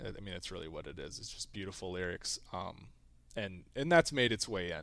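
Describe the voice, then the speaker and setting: A man's very deep, low voice at a very fast pace. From US South. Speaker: college athlete. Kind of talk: casual interview.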